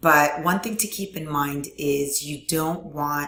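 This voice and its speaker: A woman speaks at a very slow pace. Her pitch is very deep and low. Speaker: online course instructor. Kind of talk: tutorial. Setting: screen recording at computer. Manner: filler words, frequent um.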